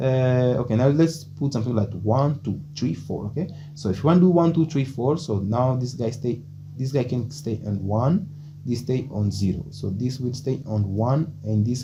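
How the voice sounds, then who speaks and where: Heard with audible room echo, a man talks at a moderate pace in a medium pitch with ordinary pitch variation. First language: Portuguese. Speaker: programming tutor. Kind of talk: tutorial. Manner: halting, many fillers.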